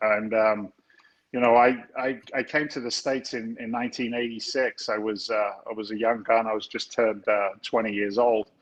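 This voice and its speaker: This man speaks with an English accent at a medium pitch. His pace is fairly quick. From London, England. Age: 50s. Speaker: real estate investor, former firefighter. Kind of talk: interview conversation. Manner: animated, casual.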